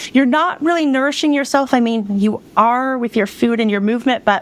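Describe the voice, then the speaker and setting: Noticeable background noise under a woman talking with ordinary pitch variation. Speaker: decluttering and self-care coach. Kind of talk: podcast interview. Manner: fast; animated.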